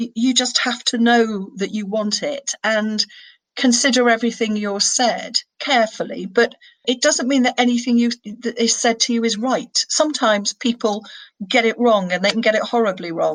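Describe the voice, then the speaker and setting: In a northern English accent, a woman talks at a moderate pace. Her pitch is fairly high and her intonation fairly even. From northern England. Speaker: senior criminal barrister. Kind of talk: interview.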